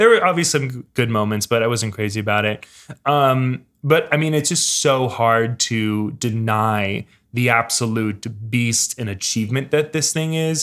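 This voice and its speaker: Male speech at a moderate pace, its pitch varying in an ordinary way. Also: medium pitch for a man. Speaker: video game podcast co-host. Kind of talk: casual chat. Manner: halting.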